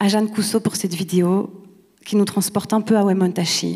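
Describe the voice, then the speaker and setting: The woman's tone is dark and mellow, and her voice is somewhat breathy. She talks at a moderate pace with a medium pitch. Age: 30s. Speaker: actress and playwright. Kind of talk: award acceptance speech. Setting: stage with audience.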